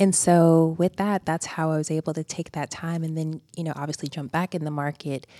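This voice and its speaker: Recorded very cleanly with a silent background and a dry, close sound with no echo, a woman with an American accent speaks at a fairly quick pace in a very deep, low, dark and mellow voice with monotone, flat intonation. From US South, rural Georgia. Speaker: human resources executive. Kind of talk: radio interview. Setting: studio.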